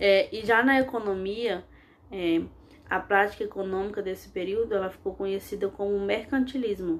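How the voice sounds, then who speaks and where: Speaking at a fairly slow pace, a woman has medium pitch and an unremarkable speaking voice. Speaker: history teacher. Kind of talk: lecture. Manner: frequent fillers and self-corrections.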